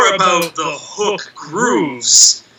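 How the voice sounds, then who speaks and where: Noticeable background noise sits behind a speaker with an American accent. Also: man. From Massachusetts, US. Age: 30s. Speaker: death metal musician. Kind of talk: casual chat.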